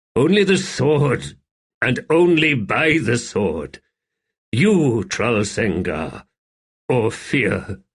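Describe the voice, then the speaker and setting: A man puts on a character voice at medium pitch. He drawls at a very slow pace, his pitch swinging very widely. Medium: read story.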